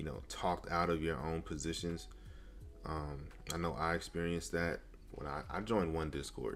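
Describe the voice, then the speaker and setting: A man with a very deep, low pitch speaks at a moderate pace in a relaxed tone. There is audible room echo. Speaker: day trader streaming live. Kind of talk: live stream chat. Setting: live stream. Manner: casual, relaxed.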